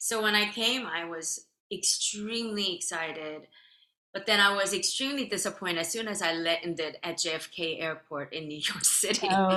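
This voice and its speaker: Speaking in a Korean accent, a woman has a bright, sharp tone and a medium pitch. Her pace is moderate and her pitch varies in an ordinary way. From South Korea. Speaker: violin soloist. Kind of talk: interview.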